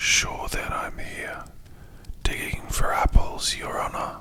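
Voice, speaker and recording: A whispered, put-on character voice. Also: woman, fairly slow pace. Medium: read story.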